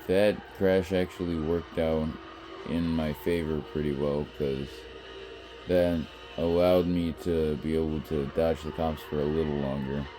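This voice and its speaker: A man's very deep, low voice at a fairly slow pace with fairly even intonation, music in the background. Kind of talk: gameplay commentary.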